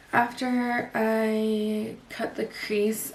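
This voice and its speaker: Soft-spoken delivery over light background noise. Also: woman. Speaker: beauty vlogger. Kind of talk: makeup tutorial. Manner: quiet.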